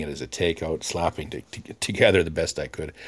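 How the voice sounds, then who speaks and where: With a Canadian accent, a man talks at a moderate pace in a very deep, low pitch. His voice has vocal fry and ordinary pitch variation. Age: 50s. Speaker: podcaster. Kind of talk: monologue. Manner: animated.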